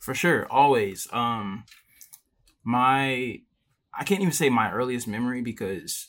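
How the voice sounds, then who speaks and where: Here a man speaks in a plain, everyday voice with an American accent. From Richmond, Virginia, US. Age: 20s. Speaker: illustrator and independent animator. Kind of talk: casual interview. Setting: video call.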